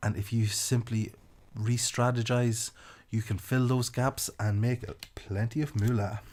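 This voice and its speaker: Somewhat breathy and flat in intonation, a man speaks at a medium pitch and a fairly slow pace. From Ireland, County Louth. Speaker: marketing podcast host. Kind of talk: podcast monologue.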